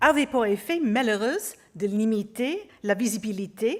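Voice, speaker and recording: A woman's fairly high voice carries lively intonation on a very clean recording with a silent background. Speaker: museum curator. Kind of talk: conference lecture. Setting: auditorium with audience. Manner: halting, with hesitations.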